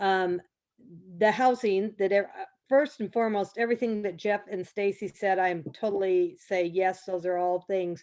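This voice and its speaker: Against a quiet background, a woman with an unremarkable speaking voice talks at a fairly slow pace, her medium pitch showing ordinary variation. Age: 60s. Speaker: parent advocate. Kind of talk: testimony.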